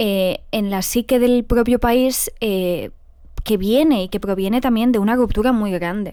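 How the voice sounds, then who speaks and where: A woman's fairly high voice with a dark, mellow tone, ordinary pitch variation and a fairly slow pace. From northern Morocco. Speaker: podcast host. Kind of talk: interview.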